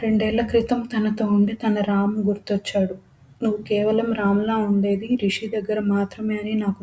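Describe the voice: Reading aloud, plainly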